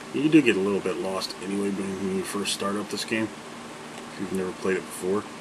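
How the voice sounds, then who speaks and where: A man with a fairly low voice speaks at a fairly quick pace with ordinary pitch variation, and there is noticeable background noise. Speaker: video game commentator. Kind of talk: gameplay commentary. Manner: casual, filler-heavy; trying not to shout. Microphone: far from the mic, may be too quiet.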